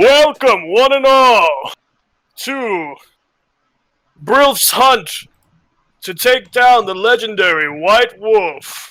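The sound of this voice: A man's put-on character voice at extremely high pitch, very slow, with long, frequent pauses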